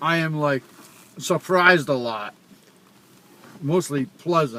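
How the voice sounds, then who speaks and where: A man with a Rhode Island accent and a fairly high pitch. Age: old. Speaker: father. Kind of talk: casual chat.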